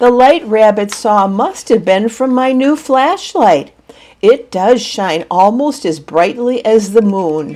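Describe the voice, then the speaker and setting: A put-on character voice that sounds female, pitched fairly high, gruff and rumbling. The pace is fairly slow. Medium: read story. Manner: gruff, grumbling.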